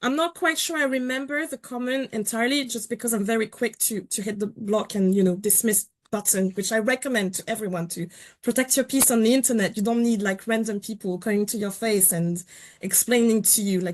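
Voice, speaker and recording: Over a quiet background, a woman speaks at a fairly quick pace in a fairly high pitch with ordinary pitch variation. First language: not English. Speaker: journalist and columnist. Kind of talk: webinar panel discussion. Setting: online webinar.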